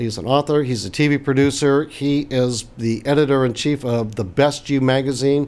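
A man with a fairly high pitch and an unremarkable speaking voice talks at a moderate pace in fairly even intonation, with hardly any pauses. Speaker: interviewer. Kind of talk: interview. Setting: remote interview.

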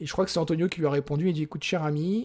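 In a very clean recording with a silent background, a man with an unremarkable speaking voice talks with fairly even intonation. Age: 40s. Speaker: software engineer and operations director. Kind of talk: casual interview.

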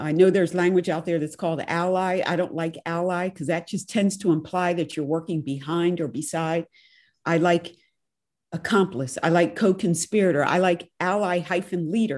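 A woman's normal speaking voice, fairly low in pitch, with fairly even intonation and a moderate pace, over a quiet background. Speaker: podcast host and professor. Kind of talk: interview.

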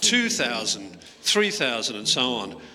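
A man talks with lively intonation amid noticeable background noise. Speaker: congregation member. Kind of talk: casual chat.

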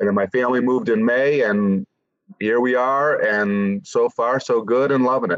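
A man with an American accent uses an unremarkable speaking voice at medium pitch, moderate pace, very even loudness and ordinary pitch variation. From Massachusetts (Quincy, near Boston). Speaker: cannabis company marketing executive. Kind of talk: interview.

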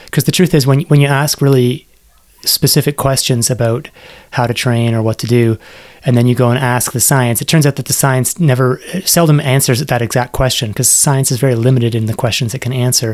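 This man has a Canadian accent and a normal speaking voice at medium pitch. He talks at a fairly quick pace with fairly even intonation. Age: 40s. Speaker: science journalist and author. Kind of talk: podcast interview.

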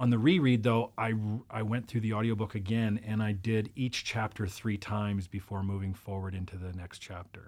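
In a plain, everyday voice, a man speaks at a moderate pace and a fairly low pitch, with fairly even intonation and hardly any pauses, on a very clean recording with a silent background. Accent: Canadian. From Interior British Columbia, Canada. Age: 40s. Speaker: life coach and military veteran. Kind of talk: casual chat.

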